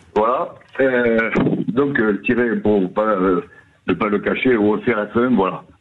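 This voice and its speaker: Over noticeable background noise, a man at medium pitch speaks at a very slow pace with long, frequent pauses, fairly even intonation and very even loudness. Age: 70s. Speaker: caller. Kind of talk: radio call-in. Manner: halting, many hesitations.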